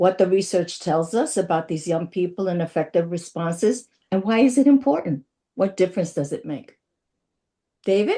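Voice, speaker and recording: A woman with a plain, everyday voice speaks at a moderate pace. Her medium pitch carries lively intonation. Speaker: webinar moderator, youth justice co-chair. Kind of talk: webinar moderation.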